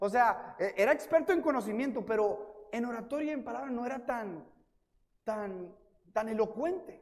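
In a room with audible echo, a man with an extremely high pitch speaks at a moderate pace with ordinary pitch variation. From US-Mexico border, El Paso and Ciudad Juárez. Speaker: guest preacher. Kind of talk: sermon. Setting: church.

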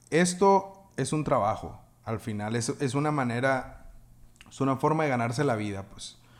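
The recording is very clean with a silent background. A man with a normal speaking voice talks at a medium pitch with lively intonation. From Mexico, Sonora (Navojoa). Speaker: music producer and audio engineer. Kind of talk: casual interview chat.

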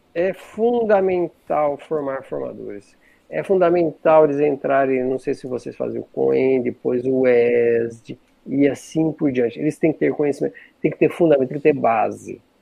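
The man's pitch is fairly high, with ordinary variation. He speaks at a moderate pace. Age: 50s. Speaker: spiritist speaker on online outreach. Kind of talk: casual chat. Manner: animated; halting.

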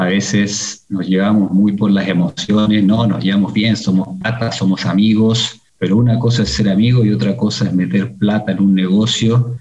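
At a moderate pace and fairly low pitch, a man talks in a normal speaking voice with ordinary pitch variation, very even loudness, and hardly any pauses. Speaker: executive in a family car dealership business. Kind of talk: interview conversation. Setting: video call.

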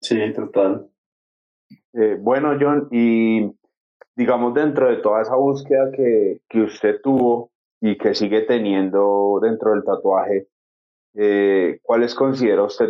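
A man with a medium pitch and ordinary pitch variation speaks at a very slow pace. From Colombia. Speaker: podcast co-host. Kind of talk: interview. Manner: halting.

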